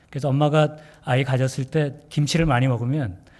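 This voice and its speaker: A man's medium-pitched, somewhat breathy voice carries ordinary pitch variation. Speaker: pastor. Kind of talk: sermon. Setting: church.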